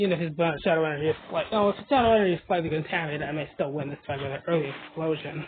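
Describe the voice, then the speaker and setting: A man with a fairly high voice rushes along at a very fast pace while noticeable background noise carries on. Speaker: mobile game video creator. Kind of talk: gameplay commentary. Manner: animated.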